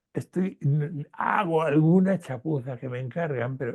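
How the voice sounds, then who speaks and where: This man's voice sits fairly high in pitch and comes across somewhat breathy. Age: 80s+. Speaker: retired professor and historian of science. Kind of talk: interview conversation. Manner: halting, with fillers and repetitions.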